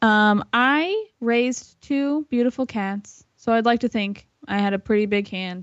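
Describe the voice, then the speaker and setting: Here is a woman with an ordinary speaking voice. Her pace is fairly slow. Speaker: podcast co-host. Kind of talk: comedic interview.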